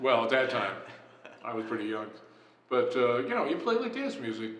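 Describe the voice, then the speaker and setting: With an American accent, a man speaks at a fairly quick pace amid noticeable background noise and audible room echo. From Los Angeles, California. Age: 70s. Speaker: jazz musician. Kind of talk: interview. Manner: casual, hesitant with many fillers.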